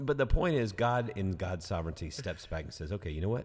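On a very clean recording with a silent background, a man speaks at a fairly quick pace in a very deep, low voice that is somewhat breathy, with lively intonation. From US South, Georgia. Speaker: pastor and podcast host. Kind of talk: casual chat about scripture. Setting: studio.

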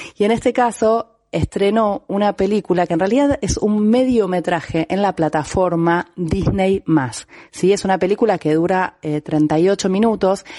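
A woman's dark, mellow voice at a medium pitch, with ordinary pitch variation and a fairly slow pace, in dry, close sound with no echo. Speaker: film columnist. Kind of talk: film recommendation segment.

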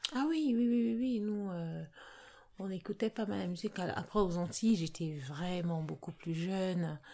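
Fairly low in pitch with a dark, mellow tone, a woman talks at a fairly slow pace on a very clean recording with a silent background. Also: lively intonation. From Cameroon, Yaoundé. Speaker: healthcare worker. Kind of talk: casual interview.

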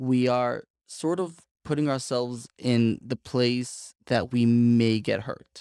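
A man with an American accent has a dark, mellow tone. The sound is dry and close with no echo, on a very clean recording with a silent background. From Brooklyn, New York. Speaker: podcast co-host, life coach. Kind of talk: casual interview conversation.

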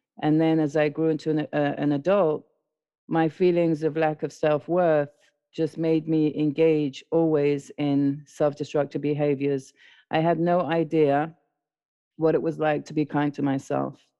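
With a London accent, the speaker talks at a fairly slow pace with monotone, flat intonation. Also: woman, very deep, low pitch for a woman. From London, England (born in South America). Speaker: recovering addict sharing her story. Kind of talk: testimony. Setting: podcast recording.

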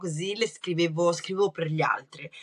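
A woman at a fairly low pitch and fairly quick pace, with ordinary pitch variation and noticeable background noise. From Brescia, northern Italy. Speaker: writer. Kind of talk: interview.

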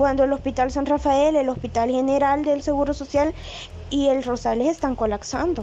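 Against noticeable background noise, a woman talks at a moderate pace with a high pitch. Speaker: poet. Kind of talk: casual chat.

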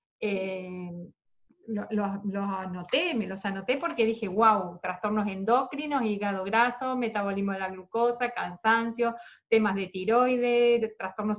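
A woman with an ordinary speaking voice talks at a fairly slow pace, her fairly high pitch showing ordinary variation against a quiet background. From Argentina. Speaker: podcast host. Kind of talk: interview.

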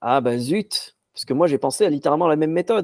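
A man at a moderate pace, dark, mellow tone, dry, close sound with no echo. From Morocco, Casablanca. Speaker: magician and stand-up comedian. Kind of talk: casual chat.

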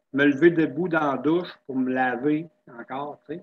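At a moderate pace, a man speaks in a normal speaking voice, fairly high-pitched with fairly even intonation. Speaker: person living with multiple sclerosis, wheelchair user. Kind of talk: casual interview chat. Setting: video call.

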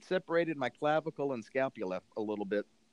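A man with an unremarkable speaking voice talks at a fairly quick pace and a medium pitch. His pitch variation is ordinary, and the sound is dry and close with no echo. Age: 40s. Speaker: international school teacher. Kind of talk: casual interview.

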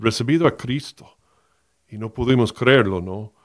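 This is a man speaking. His pitch is medium. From US, Miami, Florida. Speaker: pastor and podcast host. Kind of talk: personal testimony. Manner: halting, many fillers.

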